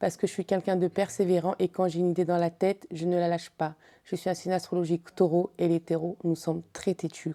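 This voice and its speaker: A woman's fairly low, dark and mellow voice moves at a fairly quick pace in a very clean recording with a silent background and a dry, close sound with no echo. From Congo. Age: 30s. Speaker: beauty pageant contestant, model. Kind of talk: interview.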